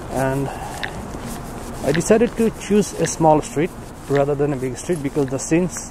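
With noticeable background noise, a man speaks at a fairly slow pace in a dry sound with no echo. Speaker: walking tour vlogger. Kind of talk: casual vlog narration. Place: street. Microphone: phone near.

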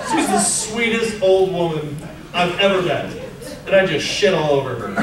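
With audible room echo and noticeable background noise, a high-pitched man speaks at a moderate pace with lively intonation. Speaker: stand-up comedian. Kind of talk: stand-up comedy set. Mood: mock anger, profane. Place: stage.

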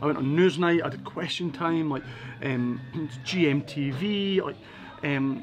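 With a Scottish accent and an enthusiastic tone, a man speaks at a fairly slow pace in a fairly high voice with ordinary pitch variation. Long, frequent pauses break his speech over light background noise. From Edinburgh, Scotland. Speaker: motivational speaker. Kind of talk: interview answer. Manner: casual, enthusiastic. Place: bar.

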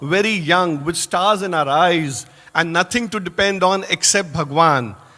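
Bright and sharp in tone, a man's high voice carries ordinary pitch variation. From India, Indore. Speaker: lecturer and spiritual speaker. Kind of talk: speech to an audience. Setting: hall with audience.

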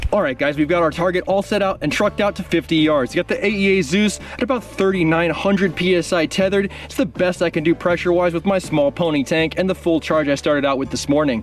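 Faint music sits behind this dry, echo-free recording, where the speaker moves at a fairly quick pace with hardly any pauses and ordinary pitch variation. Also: man, high pitch for a man. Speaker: airgun channel host. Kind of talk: casual vlog commentary. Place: open country. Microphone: camera far.

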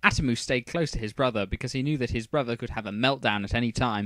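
With ordinary pitch variation, this is a natural reading voice.

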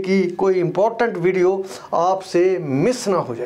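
Fairly slow speech with ordinary pitch variation. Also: man. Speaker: trainer. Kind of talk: lecture. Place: studio. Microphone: lapel.

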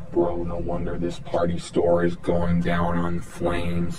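A man's voice with audible room echo and faint music in the background. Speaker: comedic shopper vlogger. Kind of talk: casual vlog chat. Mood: mock outraged complaining. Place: shop. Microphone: phone near.

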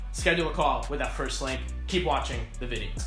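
Over clear background music and audible room echo, a man speaks at a very fast pace. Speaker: e-commerce coach. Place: home room.

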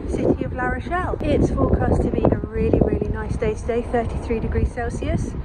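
There is loud background noise. A woman talks at a moderate pace. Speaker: travel vlogger. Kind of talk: casual vlog narration.

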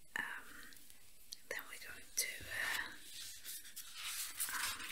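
A man whispering. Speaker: ASMR roleplay caretaker. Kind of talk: ASMR roleplay, soft helper talking to the listener. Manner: soft-spoken, hesitant, with filler words. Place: home room.

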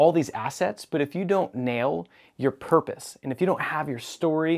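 Over a quiet background, a man talks at a moderate pace with ordinary pitch variation. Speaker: business coach show host. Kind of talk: presenter monologue to camera. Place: studio. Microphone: lapel.

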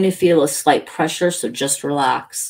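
This is a put-on character voice with a growl, set at a middle pitch. It moves at a moderate pace. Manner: growling.

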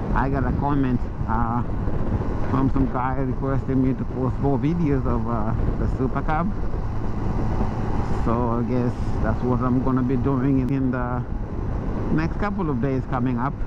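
Moderate pace with long, frequent pauses, dry sound without echo, and loud background noise. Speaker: motovlogger rider. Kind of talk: casual vlog chat. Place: motorbike. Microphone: helmet.

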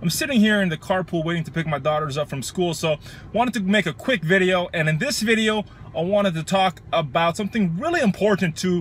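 A man talks at a fairly quick pace with a high pitch and ordinary pitch variation, the sound dry with no echo and light background noise. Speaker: fitness coach. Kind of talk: casual vlog chat. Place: car. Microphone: phone near.

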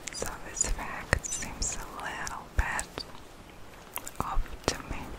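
A woman whispers at a very slow pace. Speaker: ASMR content creator. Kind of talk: ASMR whispered reading of facts. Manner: whispered. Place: home room. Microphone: phone near.

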